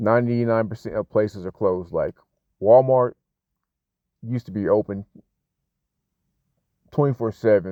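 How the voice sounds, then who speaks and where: At a moderate pace, a man talks in a medium pitch with fairly even intonation. He leaves long, frequent pauses. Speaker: English teacher. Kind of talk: casual personal story.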